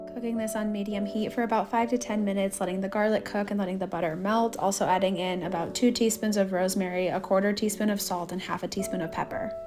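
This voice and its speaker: A woman talks very fast at a medium pitch in an upbeat tone, with ordinary pitch variation and hardly any pauses. Noticeable background noise is present. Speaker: cooking vlogger, mom. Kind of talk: voice-over cooking tutorial.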